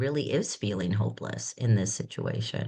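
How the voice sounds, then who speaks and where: The tone is dark and mellow with vocal fry, carried by lively intonation at a moderate pace. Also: woman. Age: 60s. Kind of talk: casual conversation.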